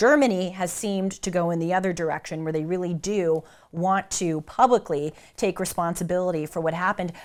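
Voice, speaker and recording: In a very clean recording with a silent background, a woman with an American accent speaks at a fairly quick pace in a fairly low pitch with ordinary pitch variation. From United States. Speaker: commentator. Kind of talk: casual talk.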